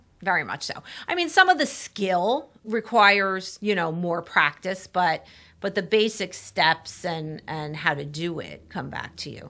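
On a very clean recording with a silent background, a woman with a medium-pitched, bright, sharp voice speaks fairly slowly, with ordinary pitch variation and big swings in loudness. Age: 50s. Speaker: attorney and mediator. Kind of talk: interview.

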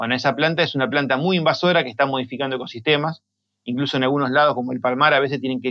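Very fast talking from a man, intonation fairly even. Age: 40s. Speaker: native plant grower. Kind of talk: interview.

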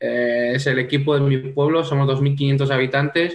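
Speaking at a moderate pace, a man with a medium pitch keeps his intonation fairly even. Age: 20s. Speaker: futsal player. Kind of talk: interview. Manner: halting.

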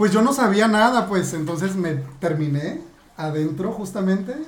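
Speech moves at a fairly slow pace over noticeable background noise. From Mexico, Acapulco. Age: 30s. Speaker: adult content creator. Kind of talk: interview.

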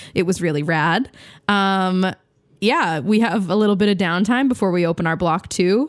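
The speaker has an animated tone and ordinary pitch variation at a moderate pace. The recording is very clean, with a silent background. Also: woman, medium pitch for a woman. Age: 20s. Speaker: radio host. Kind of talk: casual chat.

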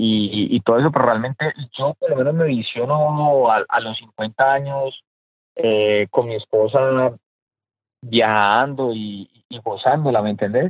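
With ordinary pitch variation, this man takes a fairly slow pace at a medium pitch. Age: 30s. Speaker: businessman and real estate investor. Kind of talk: interview. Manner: halting.

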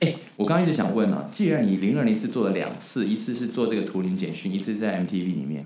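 Over noticeable background noise, a man speaks at a very fast pace and a fairly low pitch with very wide pitch swings. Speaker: podcast host. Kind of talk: interview.

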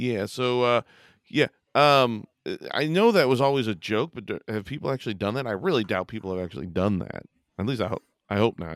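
A man with a normal speaking voice talks at a fairly quick pace and medium pitch, his intonation lively, the sound dry and close with no echo, the recording very clean over a silent background. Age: 40s. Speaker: comedy podcast co-host. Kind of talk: casual chat.

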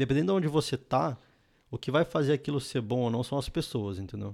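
The man's pitch varies in an ordinary way. He talks at a very fast pace. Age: 20s. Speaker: software developer and startup founder. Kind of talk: casual chat.

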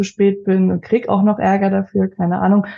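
The voice is dark, mellow and somewhat breathy, moving at a fairly quick pace with monotone, flat intonation. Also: woman. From Leipzig, Saxony, Germany. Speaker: finance advisor and coaching client. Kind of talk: casual interview.

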